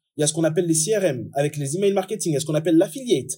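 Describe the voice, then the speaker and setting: Very fast delivery in a dark, mellow tone, with ordinary pitch variation. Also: man. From France. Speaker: digital marketing strategist, SEO expert. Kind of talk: interview.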